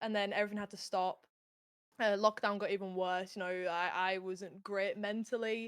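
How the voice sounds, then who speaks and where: A woman with a strong Yorkshire accent speaks at a fairly quick pace. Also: big swings in loudness, very clean recording, silent background. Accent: broad Yorkshire. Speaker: gaming streamer, content creator. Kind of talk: casual interview chat. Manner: loud when excited.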